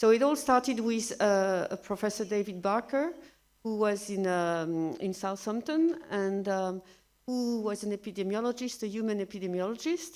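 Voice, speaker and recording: A medium-pitched woman in a French accent, moderate in pace, lively in intonation, in a very clean recording with a silent background. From France. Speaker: researcher. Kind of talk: lecture. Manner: halting, many fillers.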